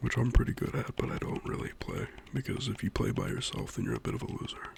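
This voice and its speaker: A soft-spoken man whispers at a very fast pace amid noticeable background noise. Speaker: ASMR creator. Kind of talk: casual talk to camera about games. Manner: soft-spoken, whispered.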